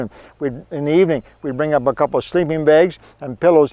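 A man is recorded with a quiet background and a dry sound with no echo. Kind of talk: casual vlog chat. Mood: cheerful, joking. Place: open country.

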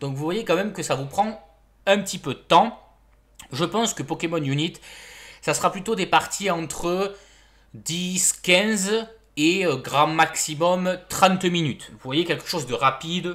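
A man with a high pitch speaks at a very slow pace, with ordinary pitch variation, big swings in loudness and long, frequent pauses, on a very clean recording with a silent background. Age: 20s. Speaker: gaming YouTuber. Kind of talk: video presentation, partly reading an article aloud. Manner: halting with many fillers.

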